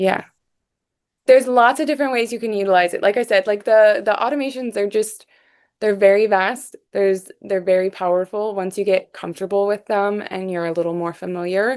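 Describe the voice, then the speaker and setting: The pitch varies in an ordinary way as the words come fairly quickly. Nothing disturbs the quiet background. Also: woman, medium pitch for a woman. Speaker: software support specialist. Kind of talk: live workshop Q&A. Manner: fast; casual, many fillers.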